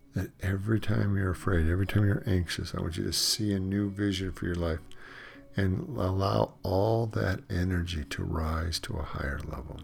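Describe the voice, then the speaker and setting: A man's very deep, low voice has a warm, somewhat breathy tone and ordinary pitch variation. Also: moderate pace. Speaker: meditation teacher. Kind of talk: guided meditation with spiritual, prayer-like direction to the listener. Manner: warm, encouraging and reassuring.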